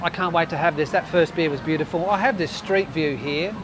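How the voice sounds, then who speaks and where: Over music in the background, a man with an Australian accent speaks at a high pitch and a moderate pace. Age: 60s. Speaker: travel vlogger. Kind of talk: casual vlog narration. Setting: outdoors. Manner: animated.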